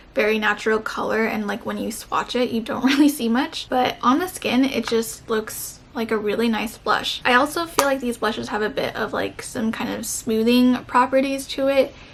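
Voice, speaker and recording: With hardly any pauses, a woman at a high pitch speaks with ordinary pitch variation over noticeable background noise. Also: moderate pace. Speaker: beauty YouTuber. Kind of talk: casual talk to camera.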